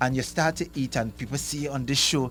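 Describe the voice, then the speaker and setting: The delivery comes at a fairly quick pace. It is a man, and his voice is somewhat breathy. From Tobago. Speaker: soca artist. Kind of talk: radio interview. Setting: radio studio.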